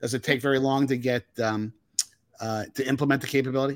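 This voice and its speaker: In an American accent, a man talks at a fairly quick pace in an ordinary speaking voice pitched fairly high, on a very clean recording with a silent background. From northern New Jersey. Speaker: podcast host. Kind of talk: interview.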